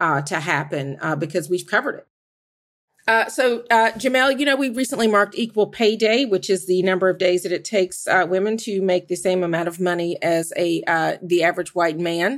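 A woman with an American accent, a normal speaking voice, medium pitch and a fairly quick pace. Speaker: journalist. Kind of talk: roundtable discussion.

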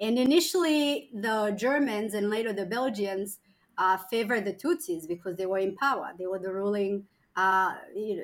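The woman speaks at medium speed in a medium pitch, her pitch moving in an ordinary way.

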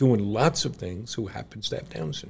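A man's somewhat breathy voice carries lively intonation. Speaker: podcast co-host. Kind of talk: casual chat.

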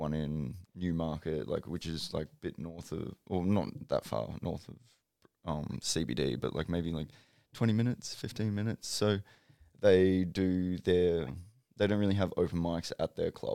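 In an Australian accent, a man talks at a moderate pace with a very deep, low, dark and mellow voice and ordinary pitch variation. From Brisbane, Australia. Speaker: comedian. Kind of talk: casual chat.

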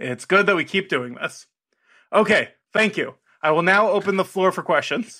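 On a very clean recording with a silent background, a man uses a raised, projected voice with a high pitch, a bright, sharp tone and ordinary pitch variation at a fairly quick pace. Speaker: podcast commissioner character. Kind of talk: formal mock statement. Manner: formal.

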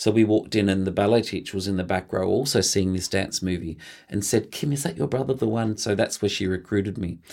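A man with an Australian accent talks at a very fast pace. His pitch is fairly low, with ordinary pitch variation. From regional Victoria, Australia (Mildura). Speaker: choreographer and dancer. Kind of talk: interview.

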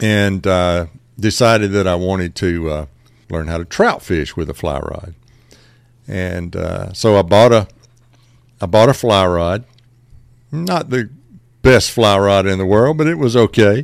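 A man with a Southern US accent speaks at a fairly slow pace with long, frequent pauses, a fairly low pitch, and lively intonation. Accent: Southern US (Georgia). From Middle Georgia, US South. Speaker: fly shop owner and fishing guide. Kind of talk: casual interview. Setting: upstairs in a fly shop.

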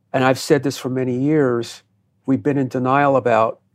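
A man with an American accent speaks at a medium pitch and a moderate pace. His intonation is monotone and flat, on a very clean recording with a silent background. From US Northeast (New Jersey). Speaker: counterterrorism expert and former FBI agent. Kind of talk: interview.

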